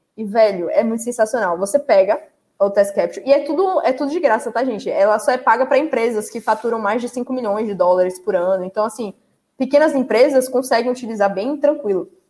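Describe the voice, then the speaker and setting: Animated and fairly quick, a woman talks at a fairly high pitch with lively intonation. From Salvador, Bahia, Brazil. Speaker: live stream host, tech content creator. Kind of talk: casual live stream chat.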